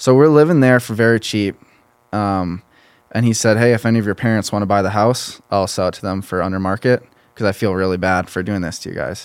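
A man with an American accent and an unremarkable speaking voice, fairly low in pitch, with ordinary pitch variation, a fairly quick pace, and a very clean recording against a silent background. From southern Minnesota, US. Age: 20s. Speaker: college football player and entrepreneur. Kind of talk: casual interview. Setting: studio.

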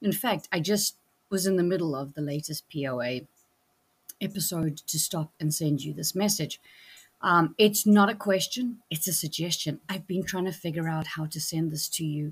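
At a moderate pace, a woman speaks in a fairly low, somewhat breathy voice with ordinary pitch variation. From South Africa. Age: 50s. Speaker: voicemail caller. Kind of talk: voicemail message.

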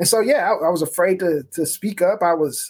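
Using a normal speaking voice, a man with an American accent talks at a moderate pace with ordinary pitch variation. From Memphis, Tennessee, US South. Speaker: pastor and author. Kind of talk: interview.

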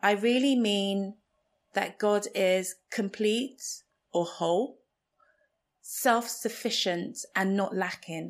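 A woman's medium-pitched voice at a very slow pace, with long, frequent pauses, ordinary pitch variation and very even loudness, on a very clean recording with a silent background. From Nigeria. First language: Igbo. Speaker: podcast host. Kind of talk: reflective solo podcast monologue.

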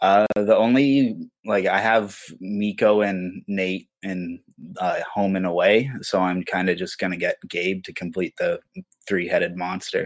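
With a Canadian accent, a man speaks at a fairly slow pace. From Ontario, Canada. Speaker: sports fan. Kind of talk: casual chat.

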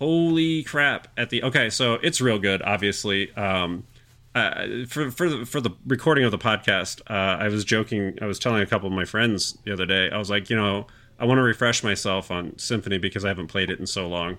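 This man has a normal speaking voice, fairly low in pitch. He moves at a fairly quick pace with lively intonation. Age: 40s. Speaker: video game podcast host. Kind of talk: casual chat.

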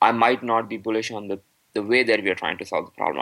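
A medium-pitched man talking at a very fast pace with ordinary pitch variation. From Pakistan. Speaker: Bitcoin entrepreneur, startup founder. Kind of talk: podcast interview.

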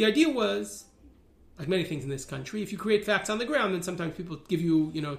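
Talking very fast at a high pitch, a man makes very wide pitch swings. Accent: New York. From New York (Riverdale). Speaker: rabbi and religious activist. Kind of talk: interview.

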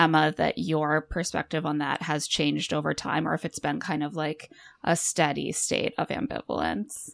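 On a very clean recording with a silent background and a dry, close sound with no echo, a woman with an American accent speaks at a moderate pace in a very deep, low pitch with vocal fry. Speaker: podcast host, mother. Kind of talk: casual chat.

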